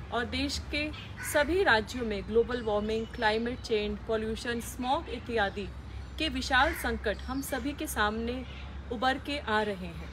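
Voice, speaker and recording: Over noticeable background noise, a woman speaks very slowly. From India, Delhi. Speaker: civil servant. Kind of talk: public service message. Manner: formal. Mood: earnest, appealing. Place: garden.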